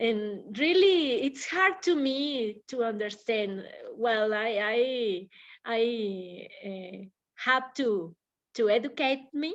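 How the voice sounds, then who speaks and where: A woman with a Spanish accent at a very slow pace, her intonation lively. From Mexico. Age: oldest in the group. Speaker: English class participant. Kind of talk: casual discussion. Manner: halting.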